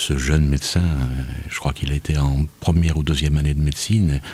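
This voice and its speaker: A man is talking. His speech comes at a fairly quick pace. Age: 60s. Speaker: radio host. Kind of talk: radio talk show debate.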